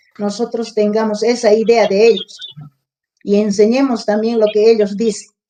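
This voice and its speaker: Her voice has a dark, mellow tone and a fairly high pitch for a woman. The woman speaks with monotone, flat intonation. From Apurímac, Peru. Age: 70s. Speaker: retired rural schoolteacher and former school director. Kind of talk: interview answer.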